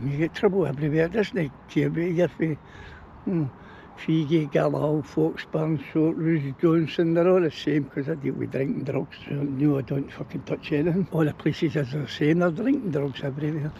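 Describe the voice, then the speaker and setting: This man talks with a Glaswegian accent at a fairly high pitch. His pace is moderate and his pitch variation ordinary. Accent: broad Glaswegian Scottish. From Scotland, Glasgow area. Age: 60s. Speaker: local resident, recovering alcoholic. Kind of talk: street interview.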